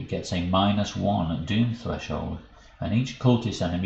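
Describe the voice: Ordinary pitch variation in plain reading aloud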